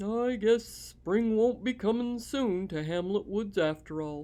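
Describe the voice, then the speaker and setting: Someone uses a put-on character voice at a fairly high pitch and a fairly slow pace. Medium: read story.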